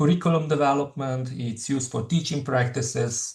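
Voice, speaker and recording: With a Slovenian accent, a man speaks in a somewhat breathy, fairly high voice with ordinary pitch variation against a quiet background. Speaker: professor. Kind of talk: lecture. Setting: webinar. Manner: halting, many fillers.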